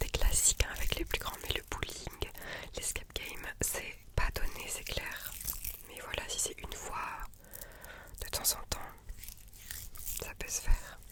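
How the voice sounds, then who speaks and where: A woman whispering at a very slow pace, with long, frequent pauses, big swings in loudness and noticeable background noise. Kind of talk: ASMR whispered talk to camera. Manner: whispered.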